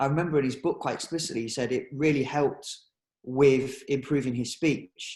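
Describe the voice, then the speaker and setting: Somewhat breathy, a man talks. His intonation is fairly even. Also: fairly high pitch for a man, fairly quick pace. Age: 20s. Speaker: guest recounting overcoming a stutter. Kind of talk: interview. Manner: halting.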